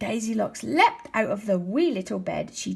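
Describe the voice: Lively intonation over plain reading aloud.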